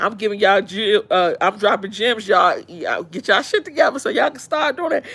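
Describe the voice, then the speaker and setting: Here a woman speaks in an animated tone. Her pace is fairly quick. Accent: DC. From Washington DC. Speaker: live streamer. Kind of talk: casual chat.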